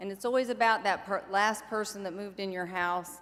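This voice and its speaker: Here is an ordinary speaking voice. The woman speaks at a medium pitch with fairly even intonation. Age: 60s. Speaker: recovery organization leader. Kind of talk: convention keynote speech. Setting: stage with audience. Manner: warm, conversational.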